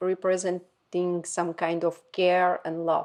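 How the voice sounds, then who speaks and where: In a Slovak accent, a woman of medium pitch talks at a fairly slow pace. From Slovakia. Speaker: podcast co-host. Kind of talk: casual chat.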